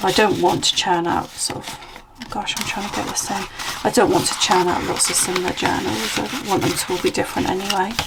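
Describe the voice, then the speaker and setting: Talking at a fairly quick pace with a British accent, a woman has a medium pitch and ordinary pitch variation, with audible room echo and noticeable background noise. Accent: UK. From UK. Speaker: junk journal crafter and seller. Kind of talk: craft flip-through video. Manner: casual, chatty.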